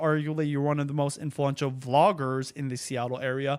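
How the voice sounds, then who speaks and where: This man speaks with a fairly high pitch. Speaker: podcast host. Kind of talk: casual chat. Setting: live stream. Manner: slow.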